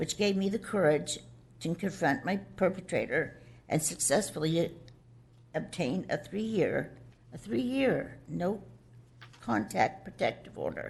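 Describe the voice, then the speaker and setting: A woman speaks at a fairly slow pace with a fairly low pitch and vocal fry. Her pitch swings very widely, and she takes long, frequent pauses. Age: 60s. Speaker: abuse victim, dependent adult. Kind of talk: testimony. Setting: public board meeting. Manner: halting, with repetitions and restarts.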